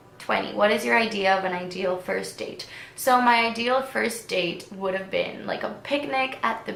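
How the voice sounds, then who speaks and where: In a Spanish accent, a woman speaks at a moderate pace and medium pitch with ordinary pitch variation, amid noticeable background noise and audible room echo. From Venezuela. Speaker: beauty vlogger. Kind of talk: casual Q&A vlog.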